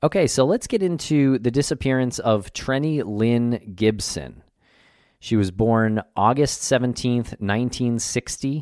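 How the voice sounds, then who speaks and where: In an unremarkable speaking voice of medium pitch, a man speaks at a fairly slow pace with ordinary pitch variation and very even loudness. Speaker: podcast host. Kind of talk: casual conversational podcast. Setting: remote recording, guest joining virtually.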